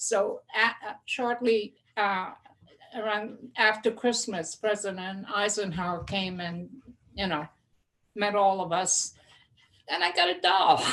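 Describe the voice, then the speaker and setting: A woman with a Hungarian accent speaks at a medium pitch and a fairly slow pace, her intonation fairly even, with long, frequent pauses. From Hungary, then New Jersey from childhood. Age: 70s. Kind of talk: casual chat. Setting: studio. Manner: halting, many fillers.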